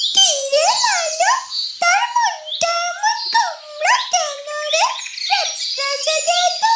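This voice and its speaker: An extremely high-pitched, cartoonish character voice speaks at a very slow pace. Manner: lively, affectionate, teasing.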